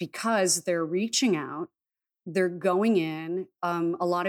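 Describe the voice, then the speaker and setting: A woman with a plain, everyday voice speaks at a fairly low pitch with ordinary pitch variation on a very clean recording with a silent background. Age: 30s. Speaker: shaman and intuitive healer. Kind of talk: casual chat.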